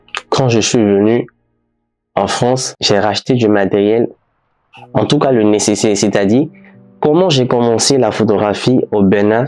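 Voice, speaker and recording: A man at a medium pitch and a fairly slow pace, with ordinary pitch variation and music in the background. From Benin. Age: 20s. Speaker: photographer and videographer. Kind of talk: casual vlog storytelling. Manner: hesitant, many fillers.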